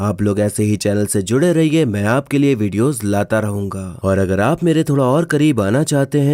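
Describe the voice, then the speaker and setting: With a dark, mellow tone and lively intonation, a man speaks at medium pitch and a moderate pace in a very clean recording with a silent background. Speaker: movie explainer YouTuber. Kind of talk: movie plot narration.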